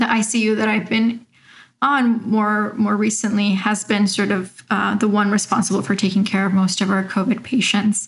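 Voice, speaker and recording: An American-accented woman speaks at a medium pitch and a moderate pace, in a monotone, flat intonation with very even loudness. Her voice is somewhat breathy against a quiet background. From Mexico, raised in Arizona. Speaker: doctor. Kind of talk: interview.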